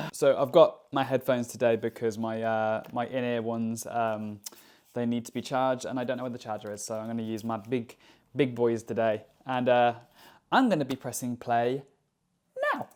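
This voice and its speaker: A very clean recording of an English accent, the background silent. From England. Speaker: YouTube reactor. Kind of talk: reaction video commentary. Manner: fast.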